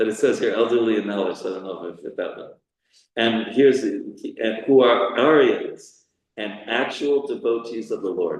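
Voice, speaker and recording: Big swings in loudness mark this man's speech, delivered at a moderate pace with an American accent. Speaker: spiritual teacher. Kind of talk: scripture class. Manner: halting.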